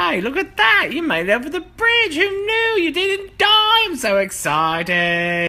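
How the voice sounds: A put-on character voice, bright and sharp in tone, fairly slow, with very wide pitch swings.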